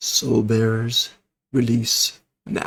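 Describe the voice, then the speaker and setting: A man at a medium pitch puts on a loud character voice. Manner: commanding.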